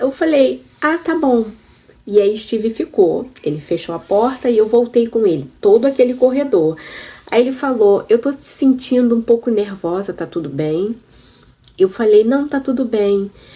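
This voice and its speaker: At a fairly slow pace, a woman speaks with a fairly high pitch and a dark, mellow tone. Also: lively intonation. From Brazil. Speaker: YouTuber sharing immigration experience. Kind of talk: personal storytelling vlog. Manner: conversational, addresses viewers.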